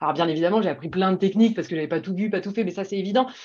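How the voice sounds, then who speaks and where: A woman talks with an ordinary amount of pitch variation. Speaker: pharmaceutical medical advisor. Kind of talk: interview. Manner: fast; hesitant, many fillers.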